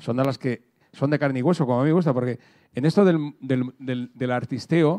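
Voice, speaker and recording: The background stays quiet. A man's voice carries a dark, mellow tone. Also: ordinary pitch variation, moderate pace. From Murcia, Spain; Spain. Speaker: radio host. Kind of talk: moderated talk. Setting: stage with audience. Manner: halting. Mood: relaxed, jokey. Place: hall. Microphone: handheld.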